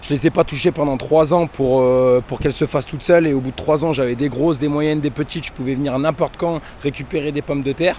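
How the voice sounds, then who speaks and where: A dark, mellow voice rushes along at a very fast pace with fairly even intonation and hardly any pauses. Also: man, fairly high pitch for a man. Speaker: YouTuber, gardener. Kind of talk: casual vlog. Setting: outdoors in vegetable garden.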